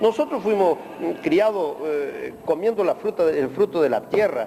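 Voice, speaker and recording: A man's speech comes through over noticeable background noise. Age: 60s. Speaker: emigrant interviewee. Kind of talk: interview.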